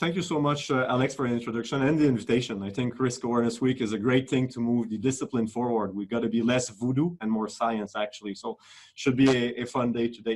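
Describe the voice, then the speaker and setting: A man with a French accent talks at a very fast pace, hardly pausing. His intonation stays fairly even. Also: medium pitch for a man. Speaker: risk manager. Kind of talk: webinar talk. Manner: hesitant, with fillers.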